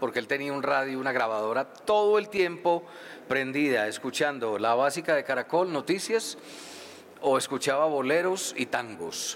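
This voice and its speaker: A man speaks at a moderate pace. His is a plain, everyday voice. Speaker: rock radio DJ and author. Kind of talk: live interview at book launch.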